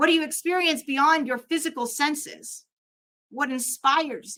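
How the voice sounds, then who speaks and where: A raised, projected voice with a bright, sharp tone shows big swings in loudness while the intonation stays fairly even. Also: woman, high pitch for a woman, moderate pace. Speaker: drag performer and ministry student. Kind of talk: conference talk. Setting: conference with live and online audience.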